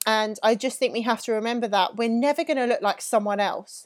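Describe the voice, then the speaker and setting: In an English accent, a woman talks very fast with a fairly high pitch and fairly even intonation. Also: very clean recording, silent background. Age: 30s. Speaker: fitness coach. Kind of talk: casual monologue.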